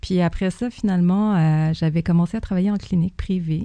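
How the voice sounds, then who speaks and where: Her voice has a dark, mellow tone. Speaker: zoo veterinarian. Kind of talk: casual interview.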